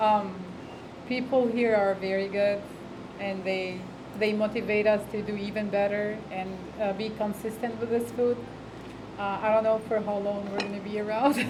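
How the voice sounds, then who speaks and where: With a non-native accent, a woman speaks at a moderate pace and medium pitch, flat and monotone, with long, frequent pauses. Audible room echo and noticeable background noise are present. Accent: foreign. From Europe. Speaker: restaurant owner. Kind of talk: casual interview. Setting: restaurant. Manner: hesitant, many fillers.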